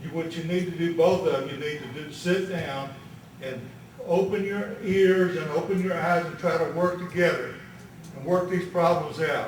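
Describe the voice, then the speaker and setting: A man speaks in a Texas Gulf Coast accent at a moderate pace, with big swings in loudness. Noticeable background noise and audible room echo fill the recording. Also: fairly even intonation. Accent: Texas Gulf Coast Southern. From Texas, Galveston County. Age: 70s. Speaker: retired labor leader speaking as citizen. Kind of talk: public comment at board meeting. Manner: emphatic, repetitive.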